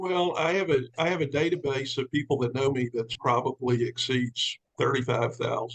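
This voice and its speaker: A man with a fairly high pitch speaks at a moderate pace with hardly any pauses, ordinary pitch variation and very even loudness. It is a plain, everyday voice. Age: 60s. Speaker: commercial real estate businessman and sales recruit. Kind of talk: testimony on a team call.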